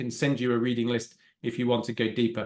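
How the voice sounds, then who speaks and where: A man with a British accent talks at a fairly quick pace. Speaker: agile coach and trainer. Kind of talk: talk with Q&A. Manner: fast.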